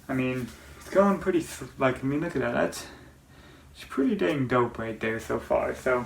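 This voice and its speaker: Medium male pitch, fairly quick pace and ordinary pitch variation, set against noticeable background noise. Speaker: fishing video creator. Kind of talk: casual tutorial talk. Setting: at sister's house. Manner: fast.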